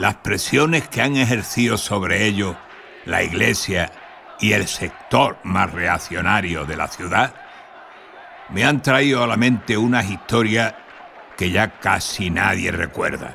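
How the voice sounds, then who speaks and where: A man speaks at a very slow pace in a fairly low pitch with ordinary pitch variation. Noticeable background noise can be heard. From Spain, Cádiz (Andalusia). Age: 80s+. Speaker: documentary narrator. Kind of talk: scripted narration.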